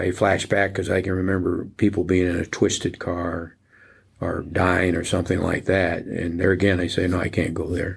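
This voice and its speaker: A man with an American accent and a very deep, low pitch speaks at a moderate pace, somewhat breathy and with flat, monotone intonation. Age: 80s+. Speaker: retired Secret Service agent. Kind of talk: interview conversation.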